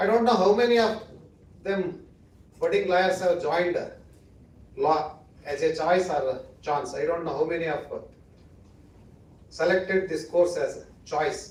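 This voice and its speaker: A man's high voice in a Kannada accent, with long, frequent pauses and audible room echo. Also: ordinary pitch variation, moderate pace. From India, Karnataka (Western Ghats village). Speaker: judge or senior legal figure, chief guest. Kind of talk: ceremonial speech. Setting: auditorium with audience.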